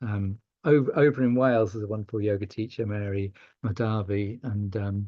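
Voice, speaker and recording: A man's somewhat breathy voice sits at a fairly low pitch with fairly even intonation. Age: 60s. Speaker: yoga teacher and charity leader. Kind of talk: podcast interview. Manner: halting.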